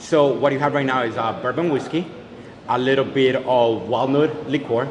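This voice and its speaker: Speaking at a fairly quick pace, a man uses a medium pitch with ordinary pitch variation. Room echo is audible, and background noise is noticeable. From Colombia. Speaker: head bartender. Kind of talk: interview, explaining cocktails. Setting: hotel bar. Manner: loud.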